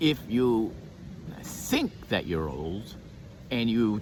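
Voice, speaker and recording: A man's voice with lively intonation. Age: 60s. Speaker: martial arts teacher and motivational speaker. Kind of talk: motivational monologue. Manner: animated.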